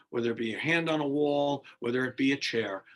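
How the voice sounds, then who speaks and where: His voice an ordinary speaking voice, a man talks at a fairly high pitch with ordinary pitch variation. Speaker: fitness instructor. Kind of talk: exercise class instruction. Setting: video call.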